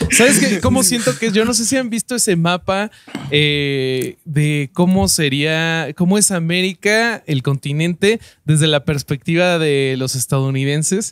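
A man with a Mexican accent speaks at a high pitch. His intonation is lively. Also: fairly slow pace, dry, close sound with no echo. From Mexico. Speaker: podcast host and stand-up comedian. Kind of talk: casual chat.

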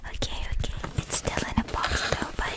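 A soft-spoken whisper at a moderate pace. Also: woman. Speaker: ASMR creator. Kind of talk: soft-spoken ASMR chat with repeated words. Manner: soft close-mic ASMR whisper. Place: home room. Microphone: studio mic.

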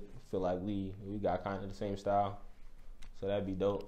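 A man's fairly low-pitched voice with a dark, mellow tone. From Illinois, US. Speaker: rapper; interviewee. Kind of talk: casual interview. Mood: relaxed, easygoing. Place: studio.

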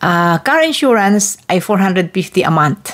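Very wide pitch swings from a woman at a very slow pace. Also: quiet background. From Philippines. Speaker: vlogger; vlogger explaining car insurance. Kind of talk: tutorial. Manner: casual, conversational. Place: home room. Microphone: handheld.

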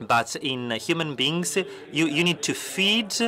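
The speaker is a man. His intonation is lively. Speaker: simultaneous interpreter. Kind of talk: simultaneous interpretation. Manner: halting.

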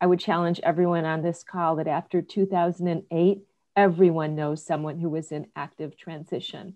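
Over a quiet background, a woman delivers her words at a moderate pace and a fairly low pitch, her intonation monotone and flat. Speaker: business leader in human capital. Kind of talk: panel discussion. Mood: earnest, reflective. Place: home room. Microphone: webcam.

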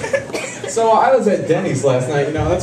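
A man races through his words at a very fast pace while noticeable background noise fills the clip. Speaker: stand-up comedian. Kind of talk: stand-up comedy routine.

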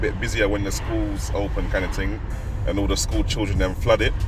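A man talks at a fairly quick pace. Clear music plays in the background, and the sound is dry with no echo. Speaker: vlogger. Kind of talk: casual vlog chat. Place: car.

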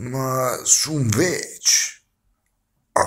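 A man speaks in a Milanese accent against a quiet background. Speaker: actor. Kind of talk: poetry reading. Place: home room. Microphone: phone near.

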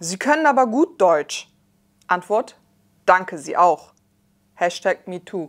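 A woman talks very slowly, her pitch swinging very widely and her loudness rising and falling sharply. The background is quiet. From Germany. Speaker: scientist and rapper. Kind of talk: reading and reacting to social media replies; commentary reading tweets and explaining. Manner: animated. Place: studio. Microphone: lapel.

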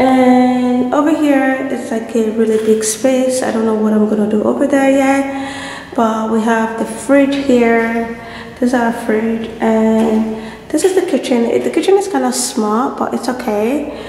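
Amid audible room echo and light background noise, a woman speaks at a fairly slow pace with ordinary pitch variation. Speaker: vlogger. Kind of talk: casual vlog chat. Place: empty room. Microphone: phone near.

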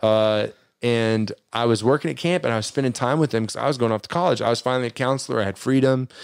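Recorded very cleanly against a silent background, a man talks at a very fast pace with ordinary pitch variation. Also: medium pitch for a man. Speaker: youth minister. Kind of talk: casual chat. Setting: livestream with chat.

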